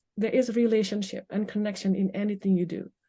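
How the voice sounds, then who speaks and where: A woman with a non-native accent speaks in a dark, mellow, somewhat breathy tone against a quiet background. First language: not English. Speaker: life coach. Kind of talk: podcast interview. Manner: halting.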